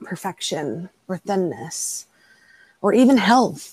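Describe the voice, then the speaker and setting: Recorded with a dry, close sound and no echo, a woman with an American accent speaks at a medium pitch in a dark, mellow tone, with vocal fry and lively intonation. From Texas. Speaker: fat activist and body image coach. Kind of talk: interview conversation.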